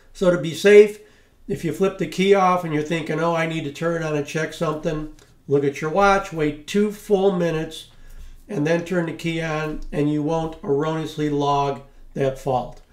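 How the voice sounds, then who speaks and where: A man talks at a moderate pace with fairly even intonation. Room echo can be heard. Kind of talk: tutorial.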